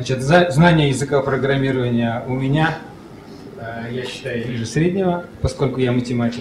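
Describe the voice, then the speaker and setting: A man's medium-pitched voice with ordinary pitch variation, amid noticeable background noise and audible room echo. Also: moderate pace. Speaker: conference speaker, app developer. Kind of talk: conference talk. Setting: stage with audience. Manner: halting.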